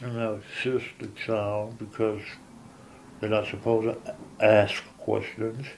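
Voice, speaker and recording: Monotone, flat delivery from a man at medium pitch. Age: 50s. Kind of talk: interview answer. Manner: hesitant.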